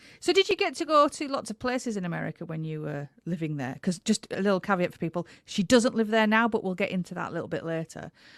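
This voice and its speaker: With an English accent, a woman talks very fast at a medium pitch, her pitch swinging very widely, in a dry, close sound with no echo. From England. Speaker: podcast host. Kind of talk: interview.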